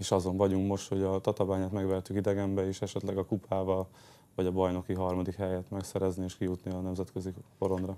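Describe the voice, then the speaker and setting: Delivered at a very fast pace, the voice has a dark, mellow tone and monotone, flat intonation. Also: man, very deep, low pitch for a man. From Hungary. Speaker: handball player; guest. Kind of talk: interview. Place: studio. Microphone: lapel.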